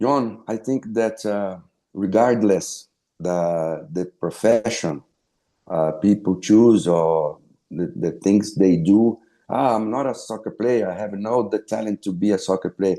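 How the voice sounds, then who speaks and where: Over a quiet background, a man with a Brazilian Portuguese accent speaks at a fairly slow pace, with a fairly low pitch, ordinary pitch variation and a dark, mellow tone. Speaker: former pro footballer and sports broadcaster. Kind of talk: interview. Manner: halting, many fillers and repeats.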